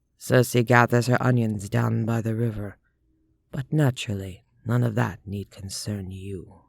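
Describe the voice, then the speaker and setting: In a resonant, put-on character voice, a man speaks at a medium pitch and a moderate pace with fairly even intonation, on a very clean recording with a silent background. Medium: read story. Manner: placid, formal, measured.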